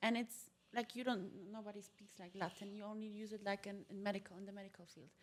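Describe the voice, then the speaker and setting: A woman speaks at a very fast pace, her loudness swinging widely. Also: medium pitch for a woman. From Germany, Polish parents. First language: Polish. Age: 20s. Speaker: multilingual entrepreneur. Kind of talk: podcast interview. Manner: animated.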